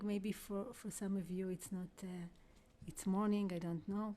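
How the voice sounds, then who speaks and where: This woman's somewhat breathy voice sits at a medium pitch and carries a dark, mellow tone. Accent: Israeli. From Israel, Jerusalem. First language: Hebrew. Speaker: vocalist and spiritual teacher. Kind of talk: guided workshop talk. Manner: halting. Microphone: too quiet.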